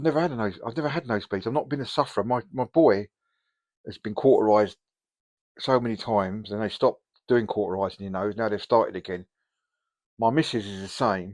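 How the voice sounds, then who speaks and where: In a dry, close recording with no echo, a man talks at a very fast pace with long, frequent pauses, a medium pitch and ordinary pitch variation. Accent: English. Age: 60s. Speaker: hobby youtuber. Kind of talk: casual vlog. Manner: hesitant, many ums.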